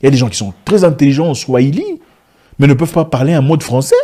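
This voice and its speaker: On a very clean recording with a silent background, a man speaks in a dark, mellow, somewhat breathy tone with lively intonation. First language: African language, not French (speaking French). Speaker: business commentator, vlogger. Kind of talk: video monologue. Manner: animated.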